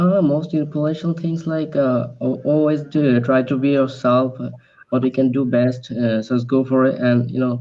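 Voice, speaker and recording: A man at medium pitch with a Bengali accent, fairly even intonation and a moderate pace, over noticeable background noise. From Bangladesh. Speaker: English learner. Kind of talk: casual chat. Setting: video call. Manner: halting.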